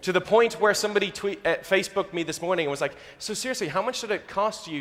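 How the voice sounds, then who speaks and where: This man has an Irish accent. He talks at a very fast pace. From Ireland. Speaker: youth minister. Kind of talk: sermon.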